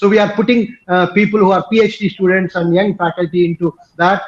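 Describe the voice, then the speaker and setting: A man in a Telugu accent speaks at a high pitch and a moderate pace. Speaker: professor and institute director. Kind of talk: conference talk. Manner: hesitant, frequent fillers.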